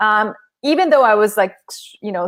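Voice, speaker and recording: A woman with a Korean accent speaks at medium pitch. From South Korea and Southern California. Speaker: author and former corporate lawyer. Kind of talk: interview on a live stream.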